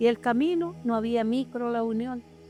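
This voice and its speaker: A woman with a southern Chilean accent speaks at a moderate pace in a fairly high pitch, with music playing in the background. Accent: rural southern Chilean Spanish. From southern Chile, Los Ríos region. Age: 70s. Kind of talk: documentary interview testimony.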